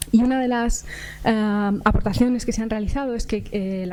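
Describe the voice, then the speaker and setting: Soft-spoken and fairly high-pitched, a woman talks at a fairly quick pace with fairly even intonation, with audible room echo and noticeable background noise. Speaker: psychology researcher. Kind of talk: conference talk. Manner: halting. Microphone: too quiet at first, later fine.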